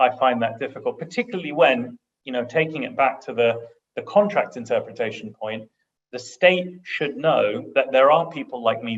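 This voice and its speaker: With a British accent, a man delivers his words at a moderate pace. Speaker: international arbitration lawyer, panelist. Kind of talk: panel discussion. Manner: halting, many repetitions.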